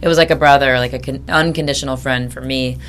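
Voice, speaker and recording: A woman talks at a very fast pace in a Midwestern American accent. Audible room echo and noticeable background noise fill the recording. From Michigan, Grand Rapids. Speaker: sports broadcaster. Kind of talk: interview. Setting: studio.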